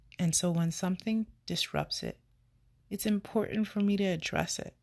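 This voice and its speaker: A woman with an American accent speaks at a medium pitch, somewhat breathy, with fairly even intonation. The recording is very clean, with a silent background. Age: 30s. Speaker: podcast host. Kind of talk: personal monologue.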